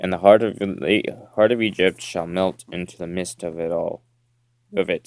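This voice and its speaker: A man's very deep, low voice with fairly even intonation, heard in a dry, close sound with no echo. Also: moderate pace. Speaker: Bible reader. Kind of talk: scripture reading. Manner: halting, stumbling over words.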